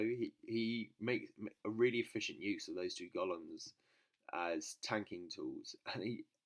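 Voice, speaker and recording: A man with a British accent talks fairly slowly, recorded with a dry, close sound and no echo. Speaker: gaming video host. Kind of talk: gameplay commentary. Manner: casual, hesitant with fillers.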